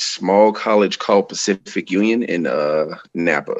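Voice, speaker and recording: Using a normal speaking voice, a man speaks at a fairly slow pace with a fairly low pitch and ordinary pitch variation. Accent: American. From Florida (Tampa). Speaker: professional wrestler. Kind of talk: casual chat.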